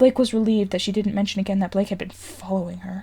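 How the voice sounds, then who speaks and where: A woman's medium-pitched voice carries a dark, mellow tone, somewhat breathy, with fairly even intonation. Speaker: fanfiction reader. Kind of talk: audiobook-style story reading.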